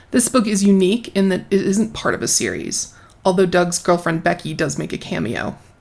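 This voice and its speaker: A woman speaks at a moderate pace with lively intonation and a medium pitch. Vocal fry runs through her voice. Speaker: book critic video host. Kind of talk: commentary with read-out excerpts.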